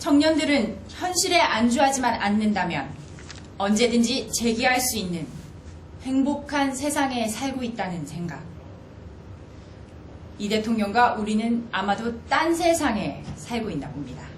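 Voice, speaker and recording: Her voice is fairly high, with very wide pitch swings, and this woman speaks at a fairly slow pace. She leaves long, frequent pauses amid noticeable background noise. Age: 30s. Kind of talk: spokesperson press briefing.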